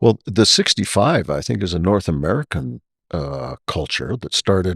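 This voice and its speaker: A man's very deep, low voice with vocal fry and very wide pitch swings, at a moderate pace, in a very clean recording with a silent background and a dry, close sound with no echo. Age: 60s. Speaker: podcast host and retired airline pilot, flight instructor. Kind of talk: casual interview conversation.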